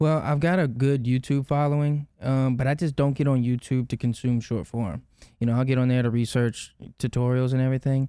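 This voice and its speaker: A man's medium-pitched voice in a Louisiana accent, dark and mellow in tone, at a fairly quick pace, with very even loudness, on a very clean recording with a silent background. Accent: Louisiana accent, noticeable. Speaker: videographer and content creator. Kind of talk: casual chat.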